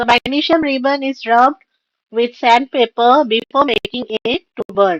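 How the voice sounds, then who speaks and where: With an Indian accent, a woman speaks at a high pitch and a moderate pace, her ordinary pitch variation captured in a dry, close sound with no echo. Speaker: online tutor. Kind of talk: live online revision class. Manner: halting, many fillers. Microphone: voice cracking on stream.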